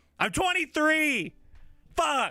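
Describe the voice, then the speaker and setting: A man uses a raised, projected voice on a very clean recording with a silent background. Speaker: live streamer. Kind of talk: casual livestream chat. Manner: lower energy, subdued.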